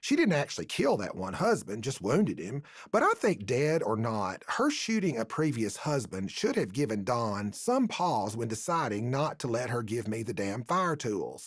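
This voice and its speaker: A fairly slow man with a Tennessee accent and very wide pitch swings, in a very clean recording with a silent background. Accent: Southern US, Tennessee. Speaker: author and storyteller. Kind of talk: humorous story reading. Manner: homespun humorous storytelling.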